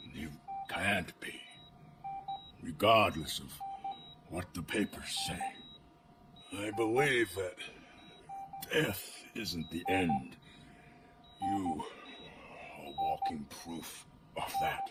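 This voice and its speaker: In a put-on character voice, a raspy man with a fairly low pitch speaks at a very slow pace with long, frequent pauses, while clear background noise and sound effects play behind him. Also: lively intonation, big swings in loudness. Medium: video game. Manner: shaky, dramatic.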